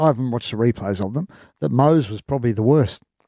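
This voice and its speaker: Dry, close sound with no echo carries a man's voice. His tone is dark and mellow, his intonation lively. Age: 40s. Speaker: rugby league journalist. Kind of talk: casual chat. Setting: studio.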